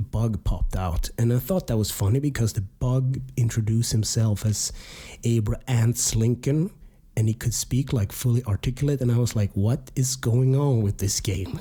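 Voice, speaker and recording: At a moderate pace, a man speaks in a somewhat breathy, medium-pitched voice with ordinary pitch variation. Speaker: game review podcaster. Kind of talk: casual podcast talk.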